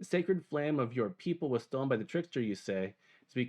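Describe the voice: Lively intonation colors this plain reading aloud.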